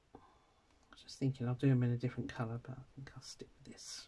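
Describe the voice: Mumbling in a put-on character voice, the speaker rushes along at a very fast pace. The intonation stays monotone and flat. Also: man, medium pitch for a man.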